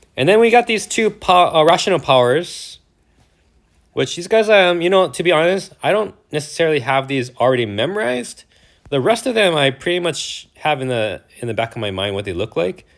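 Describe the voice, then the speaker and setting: A man talks at a fairly high pitch. His pitch swings very widely. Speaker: math teacher. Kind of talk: lecture. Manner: fast; animated.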